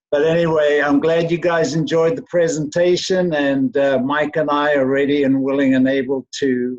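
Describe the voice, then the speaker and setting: A man with a South African accent, fairly high in pitch, at a moderate pace with ordinary pitch variation, in dry, close sound with no echo. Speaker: company employee. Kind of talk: self-introduction in virtual meeting. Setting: video call.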